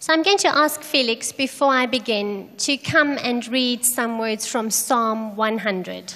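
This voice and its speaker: Very slowly and with hardly any pauses, a woman speaks in a high pitch with ordinary pitch variation. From South Africa. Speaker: charity program director. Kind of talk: sermon with interpreter. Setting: church.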